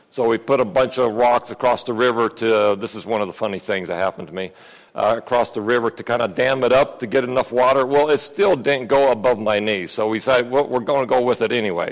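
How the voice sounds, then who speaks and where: A man with an American accent talks at a very fast pace. He has ordinary pitch variation and hardly any pauses. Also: medium pitch for a man. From Peru (American missionary family). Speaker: lay preacher. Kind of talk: sermon.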